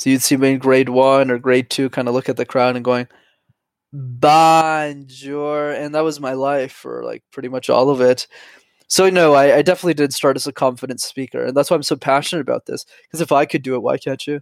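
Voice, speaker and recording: In a very clean recording with a silent background, a man with a Canadian accent speaks fairly quickly in a fairly high, monotone voice with flat intonation. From Montreal, Canada. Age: 20s. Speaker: YouTube creator and public speaking coach. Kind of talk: casual interview chat.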